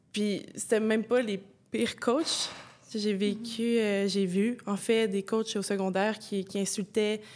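Here is a woman with an unremarkable speaking voice at a medium pitch. She talks at a fairly slow pace with fairly even intonation. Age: 20s. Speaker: former athlete. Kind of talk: testimony.

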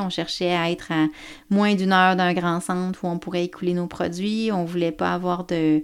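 On a very clean recording with a silent background, a woman speaks in a fairly low voice with monotone, flat intonation. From Quebec, Côte-Nord. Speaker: organic farmer and farm organization president. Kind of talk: interview. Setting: at the farm. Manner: hesitant, many fillers.

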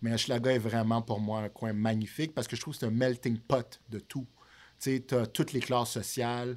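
The man's intonation is monotone and flat. His pace is fairly quick. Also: medium pitch for a man. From Montreal, Quebec (born in Haiti, arrived at 6). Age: 30s. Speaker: real estate broker. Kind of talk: casual chat. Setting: studio.

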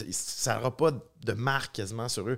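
A man speaks with a Quebec accent. The recording is very clean, with a silent background. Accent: Québécois French. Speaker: film director. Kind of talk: casual chat.

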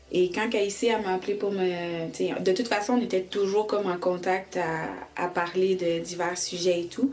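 A woman at a very slow pace with ordinary pitch variation, over noticeable background noise. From Quebec (raised from age 5, born in Haiti). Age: 20s. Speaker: licensed practical nurse and organization co-founder. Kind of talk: interview testimony.

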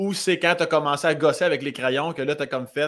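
A man's fairly high, animated voice in a Quebec accent, on a very clean recording with a silent background. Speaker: podcast host. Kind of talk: casual chat, interview. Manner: animated, joking.

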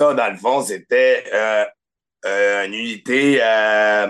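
A man with a Quebec accent, medium pitch and a bright, sharp tone, at a very slow pace against a quiet background. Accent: Québécois French. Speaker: podcast guest. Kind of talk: casual chat.

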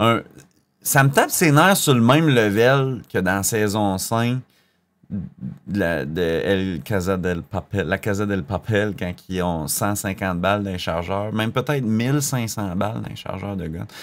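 Lively intonation marks a man's fairly low voice. He talks at a very slow pace in a very clean recording with a silent background. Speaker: podcast co-host and musician. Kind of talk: casual chat.

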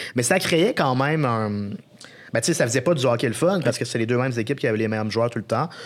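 Very fast in pace, this man talks on. His pitch varies in an ordinary way. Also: medium pitch for a man. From Quebec, Beauce (Saint-Georges). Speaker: sports journalist. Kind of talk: casual chat.

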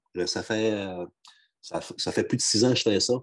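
Fairly even intonation and a moderate pace mark this unremarkable speaking voice. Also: man. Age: 50s. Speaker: union regional advisor. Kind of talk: podcast interview.

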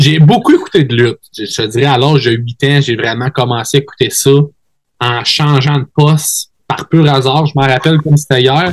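A somewhat breathy man's voice, fairly high in pitch, with ordinary pitch variation. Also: moderate pace, dry, close sound with no echo. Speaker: wrestler. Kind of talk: casual interview chat.

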